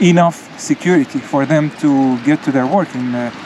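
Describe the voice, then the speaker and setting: A moderate pace over noticeable background noise. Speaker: travel vlogger. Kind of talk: casual travel commentary while walking. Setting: outdoors on a beach.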